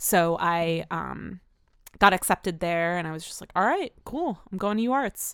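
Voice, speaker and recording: On a very clean recording with a silent background, a woman speaks in a normal speaking voice, fairly low in pitch, at a moderate pace with ordinary pitch variation. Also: big swings in loudness. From New Jersey. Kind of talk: casual interview.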